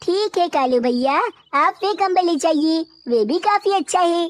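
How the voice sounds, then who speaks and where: Using a cartoonish character voice, a woman squeaks at an extremely high pitch with lively intonation and very even loudness. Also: moderate pace. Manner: polite, warm.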